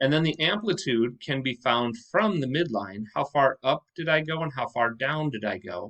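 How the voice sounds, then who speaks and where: With a plain, everyday voice, a man talks at a moderate pace using lively intonation, the sound dry and close with no echo. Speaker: math teacher. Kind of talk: lecture.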